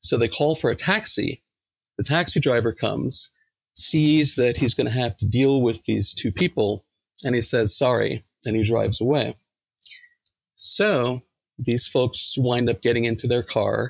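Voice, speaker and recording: In a dry, close recording with no echo, a man with an American accent and a medium pitch speaks at a fairly slow pace with vocal fry, very even loudness and ordinary pitch variation. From New York, Long Island. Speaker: academic psychologist. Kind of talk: casual interview. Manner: hesitant, many fillers.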